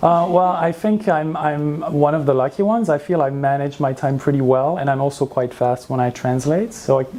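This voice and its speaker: Over noticeable background noise, a man with a French accent and a fairly high pitch talks at a moderate pace with very even loudness and hardly any pauses. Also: ordinary pitch variation. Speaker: translator. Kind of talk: interview. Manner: hesitant, many fillers.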